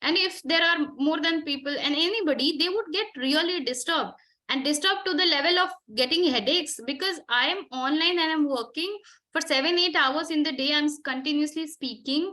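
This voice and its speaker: A woman's high voice at a fairly quick pace, with very even loudness. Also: ordinary pitch variation. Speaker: interview prep trainer. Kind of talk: online coaching session. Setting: online session from home room.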